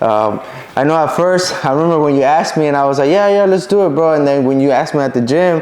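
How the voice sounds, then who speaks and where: Over noticeable background noise and audible room echo, a man with a slight Mexican accent talks very fast at a fairly high pitch with ordinary pitch variation. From Mexico, raised in US from age 7-8. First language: Spanish. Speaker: bodybuilder and trainer. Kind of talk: casual chat.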